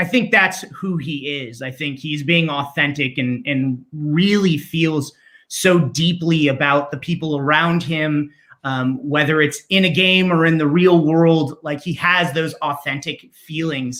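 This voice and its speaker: A man talks loud at a fairly high pitch in a bright, sharp tone. His pace is fairly slow, with ordinary pitch variation. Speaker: voice actor. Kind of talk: casual interview.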